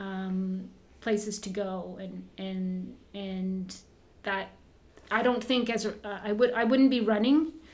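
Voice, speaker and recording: In a Canadian accent, a woman speaks at a medium pitch with fairly even intonation, and room echo can be heard. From Canada, Southern Ontario (Burlington); born in northern Ontario. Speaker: former Olympic runner, running coach and shoe shop owner. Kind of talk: casual interview.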